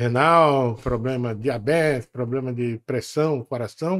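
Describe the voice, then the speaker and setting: A man at a very slow pace. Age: 70s. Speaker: podcast host. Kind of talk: interview. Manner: halting, stammering.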